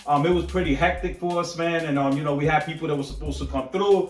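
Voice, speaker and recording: Music in the background under a fairly high-pitched man's voice at a fairly quick pace. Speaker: collectibles reviewer on video channel. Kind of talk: casual video vlog talk to camera. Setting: home statue room. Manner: high-energy, animated.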